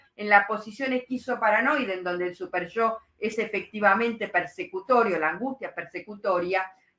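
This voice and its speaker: This woman's voice sits fairly high, and its pitch varies an ordinary amount. She keeps to a moderate pace. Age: 60s. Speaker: psychoanalyst. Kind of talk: lecture with live Q&A. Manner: hesitant, many fillers.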